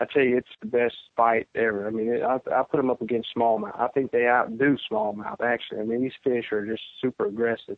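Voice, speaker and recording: A man speaks at a fairly quick pace with a Louisiana accent and fairly even intonation. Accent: Southern US (Louisiana). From Central Louisiana, US South. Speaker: professional bass angler. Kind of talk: interview, casual chat.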